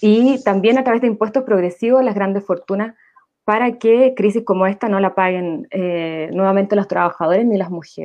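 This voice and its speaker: A woman talks in a normal speaking voice at a medium pitch. Her pace is fairly quick. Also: ordinary pitch variation. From Santiago, Chile. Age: 30s. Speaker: nurse, graduate student and political candidate. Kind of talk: panel discussion.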